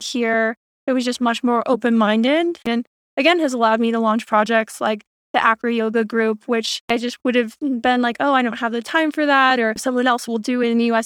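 A woman with a high pitch speaks with an American accent at a moderate pace. The sound is dry and close with no echo, and her intonation is fairly even. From US, Florida. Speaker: venture capital investor. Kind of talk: interview.

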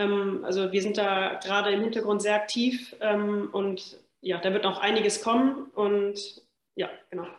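Her intonation monotone and flat, a woman speaks at a medium pitch and fairly slow pace amid audible room echo. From western Germany (Remscheid). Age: 30s. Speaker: football club general manager. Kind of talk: podcast interview.

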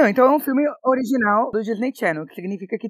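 An unremarkable speaking voice from a woman, fairly high in pitch with lively intonation and a dry, close sound with no echo. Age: 20s. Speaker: actress and podcast co-host. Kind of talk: casual chat.

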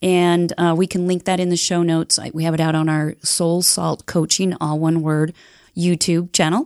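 A woman with an American accent talks at a moderate pace and a fairly low pitch. Her delivery is monotone and flat, on a very clean recording with a silent background. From Utah (Heber City). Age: 60s. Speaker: life coach. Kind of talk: interview conversation.

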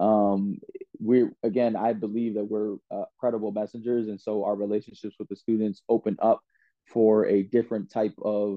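Monotone and flat in intonation, a man speaks with an American accent at a fairly low pitch. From Washington, D.C. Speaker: dean of students. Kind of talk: interview.

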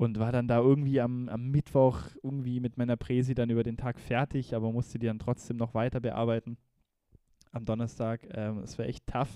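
A man's medium-pitched voice, dark and mellow in tone, with monotone, flat intonation, a moderate pace and a dry, close sound with no echo. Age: 20s. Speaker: podcast co-host. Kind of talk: casual chat. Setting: video call.

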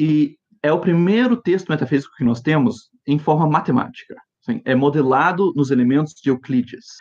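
This man has a fairly high pitch with ordinary pitch variation. His pace is moderate. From grew up in Japan, USA and Brasília. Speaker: philosophy researcher. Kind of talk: interview. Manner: halting, many fillers.

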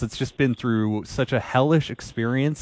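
A man with a Canadian accent at a moderate pace, dry and close with no echo against a quiet background. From Canada, East Vancouver. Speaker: sports radio co-host. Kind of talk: casual sports talk radio. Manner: animated.

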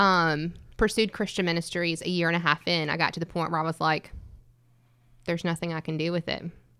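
A woman with a fairly low pitch and a bright, sharp tone speaks fairly quickly in a monotone, flat intonation on a very clean recording with a silent background. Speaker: ministry guest. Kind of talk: panel discussion.

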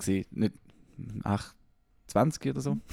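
Heard in a dry, close sound with no echo, a man speaks in a dark, mellow tone. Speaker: podcast host. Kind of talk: casual chat.

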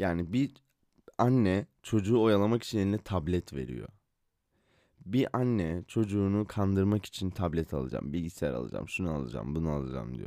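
A man speaks at a fairly quick pace in a very deep, low voice with a dark, mellow tone and very wide pitch swings. The recording is very clean, with a silent background. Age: 20s. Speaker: podcaster. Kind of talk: solo monologue podcast. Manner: casual, rambling.

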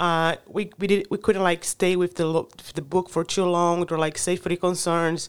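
In a very clean recording with a silent background, a woman speaks. She has a Brazilian accent and a fairly low pitch. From Brazil, Rio de Janeiro. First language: Portuguese. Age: 30s. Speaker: climate advocate. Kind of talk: casual interview. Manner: halting.

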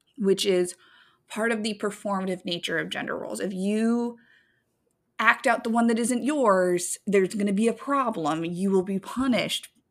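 An animated tone at a moderate pace, ordinary pitch variation, a very clean recording with a silent background. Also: woman, medium pitch for a woman. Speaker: podcast co-host. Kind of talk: casual chat podcast banter. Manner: loud, naturally on an eight; animated, profane.

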